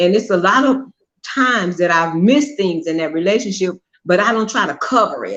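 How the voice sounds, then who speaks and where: Lively intonation marks this voice. The pace is fairly quick. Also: woman, medium pitch for a woman. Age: 60s. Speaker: mother of a show host. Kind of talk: casual chat. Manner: halting.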